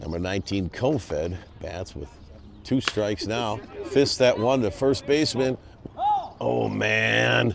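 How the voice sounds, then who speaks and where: A man talks fairly slowly, leaving long, frequent pauses, while noticeable background noise carries on. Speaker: baseball play-by-play broadcaster. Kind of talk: live commentary. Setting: broadcast booth at ballpark.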